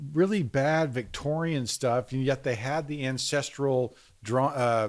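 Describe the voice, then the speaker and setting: At a fairly slow pace, a man talks in a medium pitch with ordinary pitch variation. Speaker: podcast host and craftsman. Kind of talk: casual chat. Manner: halting.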